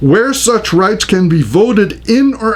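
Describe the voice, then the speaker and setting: A man speaks fairly slowly, his pitch swinging very widely, with noticeable noise in the background. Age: 60s. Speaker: pastor. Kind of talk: lecture. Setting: recorded on camera.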